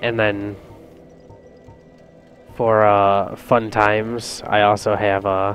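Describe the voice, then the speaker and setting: Music plays in the background as the speaker delivers a monotone, flat line with long, frequent pauses. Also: man. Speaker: video game let's play commentator. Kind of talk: casual gameplay commentary. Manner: soft-spoken, relaxed.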